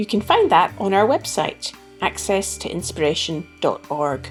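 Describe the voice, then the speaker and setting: Music plays in the background. A woman speaks with lively intonation. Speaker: podcast host. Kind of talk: podcast intro.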